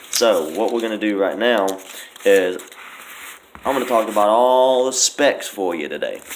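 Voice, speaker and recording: Over noticeable background noise, a man with a medium pitch and ordinary pitch variation speaks at a moderate pace with long, frequent pauses. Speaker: vape product reviewer. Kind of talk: product review. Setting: outdoors. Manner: casual, halting self-corrections.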